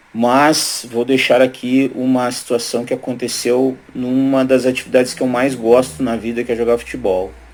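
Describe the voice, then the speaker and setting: An unremarkable speaking voice at a moderate pace. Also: man. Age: 40s. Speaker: lawyer. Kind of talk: testimony.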